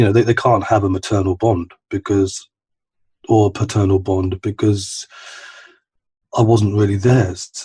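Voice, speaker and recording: A man's fairly low, somewhat breathy voice, monotone and flat, at a fairly slow pace with long, frequent pauses and very even loudness. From East London, England. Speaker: recovering addict sharing his story. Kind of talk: personal testimony in podcast interview. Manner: halting, many repetitions and fillers.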